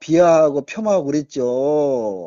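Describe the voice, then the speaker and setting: A man's voice with lively intonation. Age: 70s. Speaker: retired journalist. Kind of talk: interview.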